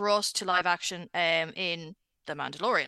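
A woman in an Irish accent talks at a moderate pace with a bright, sharp tone. The sound is dry and close with no echo, over a quiet background. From Ireland. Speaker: pop culture website editor. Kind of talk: casual chat. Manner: animated.

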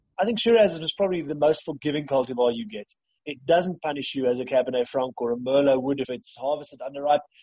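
A man with a fairly high pitch talks at a very fast pace, his pitch varying in an ordinary way. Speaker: winemaker. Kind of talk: interview.

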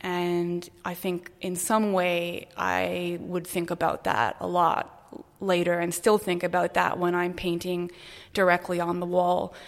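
Her voice is flat and monotone, pitched fairly low. The woman speaks very slowly. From Canada (Toronto), earlier Brazil and South Africa. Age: 30s. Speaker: artist. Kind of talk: interview. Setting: artist's studio.

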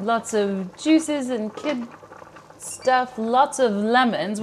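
Noticeable background noise runs under this recording. A woman speaks in a high pitch with ordinary pitch variation. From small farming town. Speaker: podcast host. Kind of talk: casual chat. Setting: on location at guest's home.

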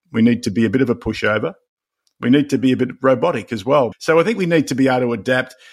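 On a very clean recording with a silent background, a man with an Australian accent talks at a very fast pace, his medium pitch showing ordinary pitch variation. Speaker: leadership author. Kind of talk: podcast interview.

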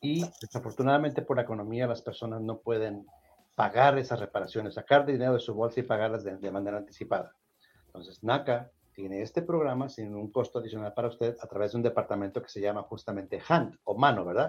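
This man talks at a very fast pace with a medium pitch and ordinary pitch variation. His loudness swings widely. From Mexico. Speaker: nonprofit office director hosting a housing podcast. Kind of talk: live-streamed call-in show.

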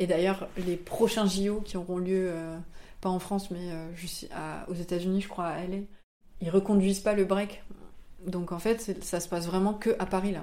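A woman at medium pitch, fairly slow, with long, frequent pauses and monotone, flat intonation. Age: 20s. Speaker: comic book author. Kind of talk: interview. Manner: hesitant, many fillers.

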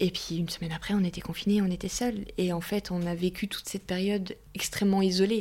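A somewhat breathy woman's voice in a flat monotone. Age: 30s. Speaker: widowed mother. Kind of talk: personal testimony interview.

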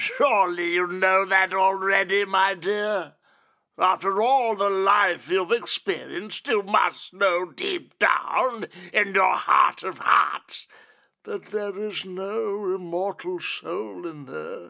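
In a put-on character voice, a man speaks very slowly at a high pitch. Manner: sly, gloating, softly menacing; eerily excited at the end.

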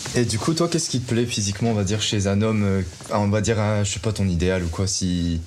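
A man's fairly low voice at a fairly quick pace, with ordinary pitch variation, very even loudness and audible room echo. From northern France, Lille. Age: 30s. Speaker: single on a dating show. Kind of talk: casual chat. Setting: in total darkness.

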